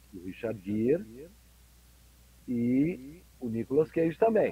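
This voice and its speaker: A man speaks at medium pitch in a dark, mellow tone that is somewhat breathy. His pitch swings very widely. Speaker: voice actor and dubbing director. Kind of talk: interview. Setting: video call.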